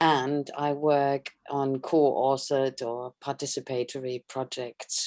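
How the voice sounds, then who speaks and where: A woman at a very slow pace, with a German accent. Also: dry, close sound with no echo. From Germany. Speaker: sculptor and installation artist. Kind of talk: online panel discussion.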